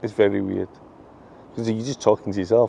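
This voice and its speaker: Here a man talks at a fairly quick pace. He has a Scottish accent. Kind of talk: casual vlog talking to camera. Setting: outdoors in a park. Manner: stutters sometimes, gets tongue-tied; repeats himself.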